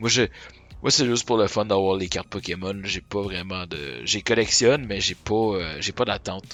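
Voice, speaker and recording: Music plays in the background as a man with a Quebec accent speaks in a fairly low pitch with ordinary pitch variation. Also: moderate pace. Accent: Québécois French. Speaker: streamer. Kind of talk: live stream card opening. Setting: live stream. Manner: casual, hesitant.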